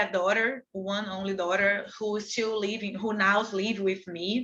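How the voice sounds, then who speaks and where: With a Portuguese accent, a woman speaks at a moderate pace with hardly any pauses and a monotone, flat intonation. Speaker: activist. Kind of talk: panel talk. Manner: halting.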